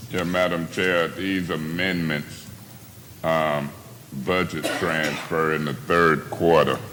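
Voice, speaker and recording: In a room with audible echo and noticeable background noise, a man talks at a very slow pace with a very deep, low pitch and fairly even intonation. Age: 60s. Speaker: city council member. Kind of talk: heated debate. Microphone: far from the mic.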